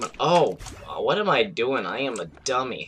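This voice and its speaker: A man's voice with music in the background. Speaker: gaming YouTuber. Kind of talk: gameplay commentary. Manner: casual.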